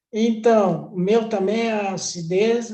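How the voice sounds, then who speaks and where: Delivered at a very slow pace, the voice has a dark, mellow tone and fairly even intonation. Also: man. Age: 80s+. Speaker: customer giving testimony. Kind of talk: testimony.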